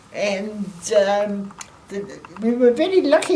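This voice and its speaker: A woman speaks with a fairly high pitch and lively intonation. Noticeable background noise sits behind her. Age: 80s+. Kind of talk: interview answer.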